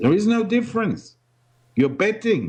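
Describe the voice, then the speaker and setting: With a German-speaking European accent, a man speaks with lively intonation. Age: 60s. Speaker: ex-investment banker and blogger. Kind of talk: interview. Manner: halting, with frequent repetitions.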